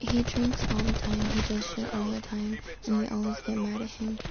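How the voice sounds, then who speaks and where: A quiet woman at a moderate pace, with audible room echo and noticeable background noise. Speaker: gaming streamer. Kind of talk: casual live stream chat. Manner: talking quietly.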